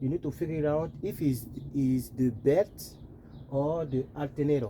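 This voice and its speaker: A man's fairly high-pitched voice, dark and mellow in tone, with fairly even intonation. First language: French. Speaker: car repair tip vlogger. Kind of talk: casual tutorial. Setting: in a car. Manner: halting.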